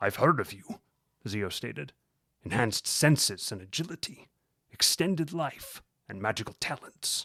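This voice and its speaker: Using a put-on character voice at a medium pitch, a man speaks with long, frequent pauses. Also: moderate pace. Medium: read story. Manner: cold, scornful.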